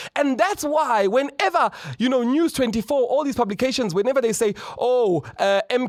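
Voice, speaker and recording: A man's voice with very wide pitch swings and a fairly quick pace. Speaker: political commentator and party leader. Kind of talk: political commentary monologue. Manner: fast.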